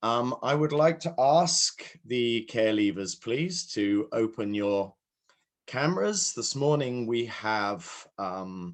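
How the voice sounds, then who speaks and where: At a very slow pace, a man with a British accent speaks at medium pitch with lively intonation over a quiet background. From UK. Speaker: session moderator. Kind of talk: conference moderation.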